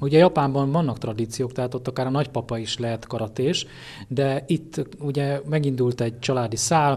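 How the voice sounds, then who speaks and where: A somewhat breathy man's voice with fairly even intonation over a quiet background. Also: moderate pace. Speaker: interviewer, local media; interviewer. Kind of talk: interview questions. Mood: relaxed, friendly. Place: gym.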